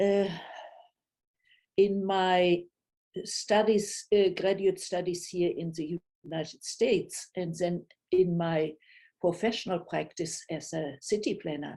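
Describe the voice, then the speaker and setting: Using a dark, mellow tone at a medium pitch, a woman speaks at a very slow pace with fairly even intonation and long, frequent pauses. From Germany. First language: German. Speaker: retired city planner, storyteller. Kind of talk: personal storytelling. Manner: halting, with many fillers.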